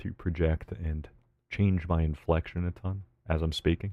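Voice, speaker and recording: Quiet and relaxed in tone, a man with a very deep, low pitch and a dark, mellow sound speaks with fairly even intonation on a very clean recording with a silent background. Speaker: live streamer. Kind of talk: casual live gaming stream chat. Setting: streaming from home while partner sleeps. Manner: quiet, relaxed.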